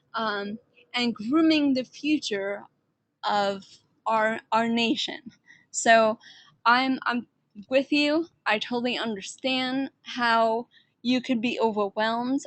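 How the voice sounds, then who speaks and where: Over a quiet background with a dry, close sound and no echo, a woman with an American accent speaks very slowly at a fairly high pitch, with long, frequent pauses and ordinary pitch variation. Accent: New York accent, varies in strength. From New York. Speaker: online instructor. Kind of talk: online class orientation talk. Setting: live online session. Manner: laid back.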